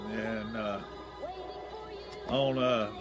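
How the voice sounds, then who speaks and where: A man's medium-pitched voice over background music. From Tennessee. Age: 80s+. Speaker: retiree reminiscing about childhood. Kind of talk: casual talk to camera.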